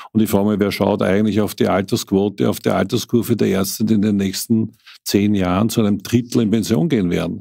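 A man speaks at a fairly quick pace in a fairly low pitch, his dark, mellow tone and fairly even intonation captured in a very clean recording with a silent background. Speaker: city health official. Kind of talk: interview.

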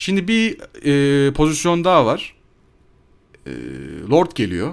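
Recorded very cleanly against a silent background, a man speaks very slowly at a fairly high pitch. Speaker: gaming YouTuber. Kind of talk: gameplay commentary voiceover. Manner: casual, hesitant with fillers.

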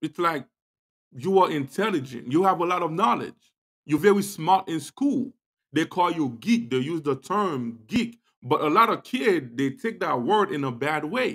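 A man at a moderate pace, his pitch swinging very widely, with a quiet background. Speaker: podcast host. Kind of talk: motivational talk show monologue.

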